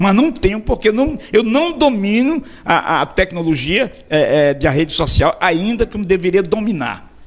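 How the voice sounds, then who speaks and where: With noticeable background noise behind him, a man speaks at a high pitch with very wide pitch swings. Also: hardly any pauses. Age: 60s. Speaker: radio host. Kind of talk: interview. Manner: halting, repeats words.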